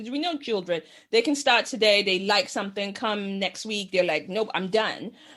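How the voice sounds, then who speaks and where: A woman's medium-pitched voice, an unremarkable speaking voice, at a moderate pace with ordinary pitch variation against a quiet background. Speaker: podcast host. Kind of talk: podcast interview question.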